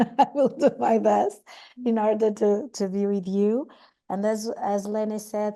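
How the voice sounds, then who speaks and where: With a dark, mellow tone, a woman speaks at a fairly high pitch. Her pace is moderate, and the background is quiet. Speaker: session moderator. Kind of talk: moderating online meeting.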